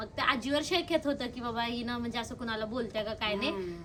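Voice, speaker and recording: A woman speaks in a raised, projected voice with ordinary pitch variation over noticeable background noise. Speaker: vlogger interviewing her grandmother. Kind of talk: casual talk to camera and interview questions.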